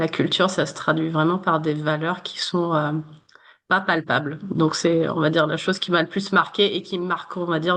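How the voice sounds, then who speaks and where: A woman at a fairly low pitch, monotone and flat, at a moderate pace against a quiet background. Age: 30s. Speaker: human resources manager. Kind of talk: interview. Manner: many hesitations (euh).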